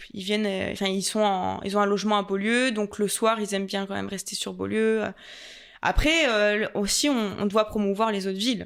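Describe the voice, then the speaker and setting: Her voice carries a slight Franche-Comté accent. The woman keeps a medium pitch and fairly even intonation. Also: moderate pace, very clean recording, silent background. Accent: slight Franc-Comtois. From Franche-Comté, France. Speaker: tourist office adviser and content creator. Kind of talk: podcast interview. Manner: hesitant, many fillers.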